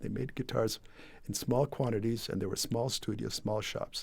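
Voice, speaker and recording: A somewhat breathy man is heard in a very clean recording with a silent background. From Puerto Rico. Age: 70s. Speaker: guitar maker. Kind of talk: interview. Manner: halting, with many repetitions and fillers.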